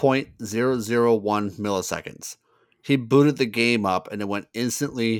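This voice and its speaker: With an unremarkable speaking voice, a man talks at a moderate pace, medium in pitch and fairly even in intonation. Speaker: podcast host. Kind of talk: casual interview chat.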